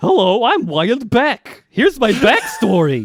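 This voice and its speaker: A put-on character voice at a moderate pace. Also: man. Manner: evil, theatrical.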